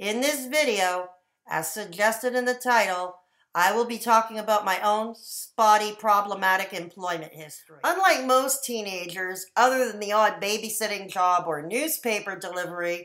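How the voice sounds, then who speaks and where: A woman talks at a moderate pace in a bright, sharp tone with ordinary pitch variation. Her loudness swings widely against a quiet background. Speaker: vlogger sharing a personal story. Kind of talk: casual vlog chat. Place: home room. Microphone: webcam.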